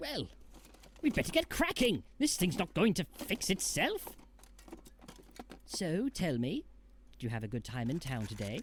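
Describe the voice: A man does a cartoonish character voice at a high pitch with very wide pitch swings. He leaves long, frequent pauses, and there is clear background noise. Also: moderate pace.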